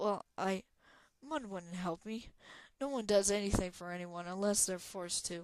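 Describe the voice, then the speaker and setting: Putting on a character voice, a woman of medium pitch speaks at a moderate pace. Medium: read story. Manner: stuttering, defensive.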